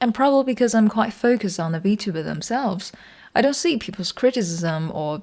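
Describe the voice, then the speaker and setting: The speaker has a non-native accent and lively intonation. The recording is very clean, with a silent background. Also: woman. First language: not English. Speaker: video essayist. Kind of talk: video essay narration.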